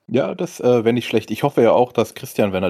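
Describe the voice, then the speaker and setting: Speaking at a fairly quick pace, a man has a medium-pitched voice with a dark, mellow tone, on a very clean recording with a silent background. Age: 30s. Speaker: podcast host. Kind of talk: casual chat.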